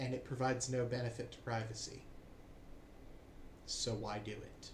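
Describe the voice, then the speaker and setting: Somewhat breathy and at medium pitch, a man with an American accent speaks at a moderate pace in a monotone, flat intonation, with audible room echo. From United States. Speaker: political commentator. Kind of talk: opinion monologue.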